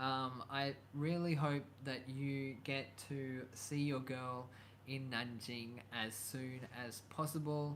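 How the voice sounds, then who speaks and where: In a room with audible echo, a man with an Australian accent speaks very slowly at medium pitch in a flat monotone. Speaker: YouTuber. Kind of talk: live stream chat. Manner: hesitant, many fillers.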